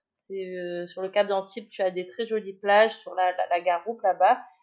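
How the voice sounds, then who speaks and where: This woman speaks at medium pitch with fairly even intonation. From Marseille, southern France. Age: 30s. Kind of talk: casual interview. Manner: hesitant, many fillers.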